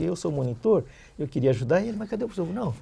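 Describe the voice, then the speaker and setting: This man has a high pitch and a dark, mellow tone, and his pitch swings very widely. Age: 70s. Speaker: dental prosthetics educator. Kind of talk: podcast interview, life story.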